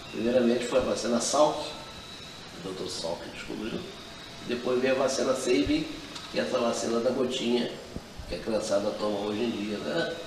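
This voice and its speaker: A man speaks at a medium pitch and a moderate pace, with ordinary pitch variation and long, frequent pauses. Noticeable background noise and audible room echo fill the recording. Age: 60s. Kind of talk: interview. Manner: conversational, with frequent tag questions.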